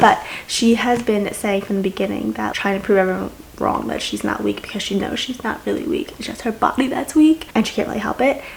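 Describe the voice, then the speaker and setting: An animated woman talks at a fairly quick pace against noticeable background noise. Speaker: booktuber. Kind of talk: reading vlog, casual chat to camera.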